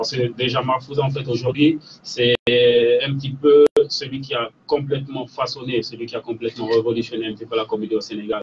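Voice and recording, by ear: The man's voice has a slightly husky edge and little pitch movement. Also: medium pitch for a man, fairly quick pace.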